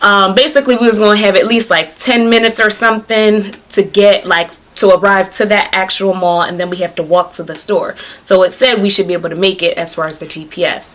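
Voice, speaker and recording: With an American accent and an animated tone, a woman speaks at a fairly quick pace over noticeable background noise. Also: medium pitch for a woman, ordinary pitch variation. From New Jersey. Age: 20s. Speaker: beauty and fashion vlogger. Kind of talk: casual vlog storytelling.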